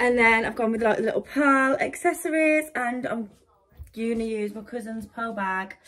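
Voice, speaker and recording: In a raised, projected voice, a woman speaks with a bright, sharp tone and ordinary pitch variation. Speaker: vlogger. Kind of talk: casual vlog chat. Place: home room. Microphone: phone near.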